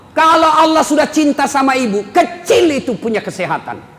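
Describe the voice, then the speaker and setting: A man talks at a moderate pace. Noticeable noise fills the background. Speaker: Islamic preacher. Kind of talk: humorous religious sermon. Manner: blunt, expressive, humorous.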